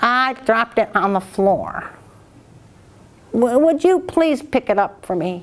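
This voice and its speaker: A woman puts on a character voice, pitched high, speaking at a fairly slow pace with long, frequent pauses. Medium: read story. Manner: wheedling.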